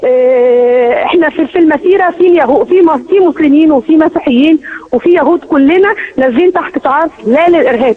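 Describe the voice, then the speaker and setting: In a strong Egyptian accent, a woman speaks at an extremely high pitch with lively intonation. Her loudness stays very even. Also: moderate pace. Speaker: eyewitness caller at a protest march. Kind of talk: phone interview.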